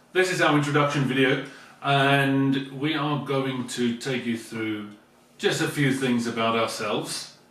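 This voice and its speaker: A man speaks at medium pitch and a fairly slow pace with fairly even intonation. Noticeable background noise and audible room echo surround him. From South Africa. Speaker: vlogger, teacher. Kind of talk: casual chat.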